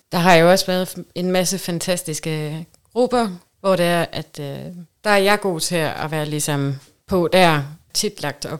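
A woman's fairly low voice at a very slow pace, with ordinary pitch variation, on a very clean recording with a silent background. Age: 30s. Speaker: guest in swinger lifestyle. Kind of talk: casual chat.

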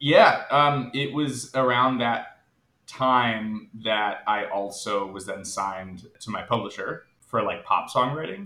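A man with an American accent at a very slow pace, his pitch medium with ordinary variation. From United States. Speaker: singer-songwriter. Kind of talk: casual chat.

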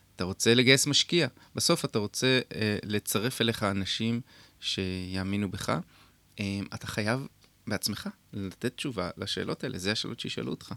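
In a very clean, dry and close recording with a silent background and no echo, a man with an unremarkable speaking voice talks at a moderate pace, fairly low in pitch with ordinary pitch variation. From Israel, kibbutz in the north. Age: 50s. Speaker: tech entrepreneur. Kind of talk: radio interview. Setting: radio studio.

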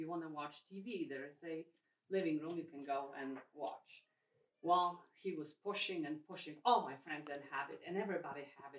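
A woman with a Polish accent speaks in a very deep, low voice. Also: ordinary pitch variation, moderate pace, big swings in loudness. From Poland. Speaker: parish member and mother. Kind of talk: personal testimony in group meeting.

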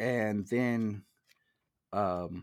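This man's voice sits fairly low, with ordinary pitch variation. The recording is very clean, with a silent background. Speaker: movie podcaster. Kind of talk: casual chat.

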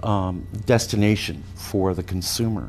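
Music plays in the background while a man talks with an American accent. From US West Coast, San Francisco Bay Area. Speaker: real estate research executive. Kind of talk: radio interview. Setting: studio.

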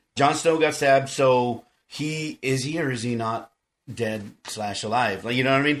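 Moderate pace and ordinary pitch variation from a medium-pitched man with an American accent. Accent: South Texas Mexican American English. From South Texas. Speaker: podcast host. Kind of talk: casual chat; reading aloud.

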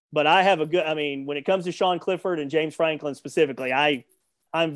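Here is a man with a Southern US accent. His pitch sits fairly high. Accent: Southern US drawl. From US South. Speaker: sports journalist and radio host. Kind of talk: interview.

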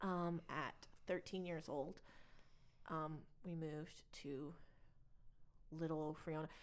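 Long, frequent pauses break up a woman's very slow speech. Her pitch sits fairly low. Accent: Texas. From Texas (Plainview). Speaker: podcast co-host. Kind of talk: casual chat.

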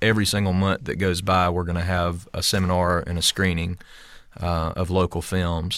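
Very deep and low, a man's voice carries a Southern US accent with fairly even intonation. The recording is very clean, with a silent background. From US South, rural. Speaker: stunt coordinator and fight choreographer. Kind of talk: casual interview. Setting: studio.

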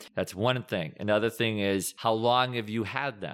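Recorded very cleanly against a silent background, a man with an American accent and an unremarkable speaking voice talks at a fairly slow pace with fairly even intonation. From Massachusetts. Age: 40s. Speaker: finance and lending expert. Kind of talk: casual interview.

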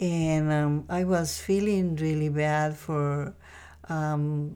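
A woman speaks at a very slow pace with a very deep, low pitch. Her tone is dark and mellow. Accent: Spanish. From Costa Rica. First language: Spanish. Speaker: mother of the host. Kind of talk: testimony. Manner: halting.

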